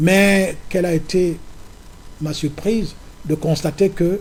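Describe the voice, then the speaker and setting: A man speaks with a high pitch and a dark, mellow tone. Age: 70s. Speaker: opposition politician and farmer. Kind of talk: political interview.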